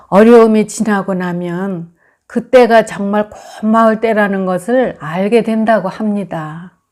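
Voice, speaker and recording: Speaking at a very slow pace, a woman with a medium pitch keeps her intonation fairly even. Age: 70s. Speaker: poet. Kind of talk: reflective essay talk to camera.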